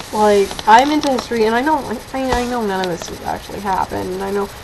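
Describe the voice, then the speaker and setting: A woman speaks at a fairly high pitch with ordinary pitch variation over noticeable background noise. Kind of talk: casual movie review to webcam. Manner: hesitant, rambling, many fillers.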